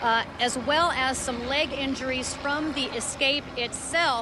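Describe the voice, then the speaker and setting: A woman speaks in a raised, projected voice with a high pitch and fairly even intonation. Her pace is fairly slow, and there is noticeable background noise. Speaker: TV news reporter. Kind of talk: live TV news report.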